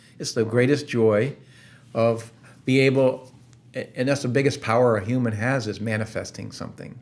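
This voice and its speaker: Speaking at a moderate pace, a man with a medium pitch keeps his intonation monotone and flat. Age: 60s. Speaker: company founder. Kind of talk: podcast interview.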